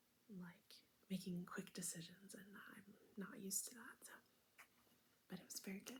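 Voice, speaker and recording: Whispering and soft-spoken, a woman talks at a moderate pace in a somewhat breathy voice, with big swings in loudness and long, frequent pauses. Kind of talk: ASMR soft spoken talk to camera with travel stories. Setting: home recording with fridge motor noise in background. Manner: soft-spoken, whispering.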